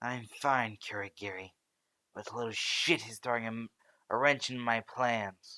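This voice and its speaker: In a put-on character voice of medium pitch, a man speaks with fairly even intonation and big swings in loudness, captured as a dry, close sound with no echo on a very clean recording with a silent background. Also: moderate pace. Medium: read story. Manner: menacing, irritable.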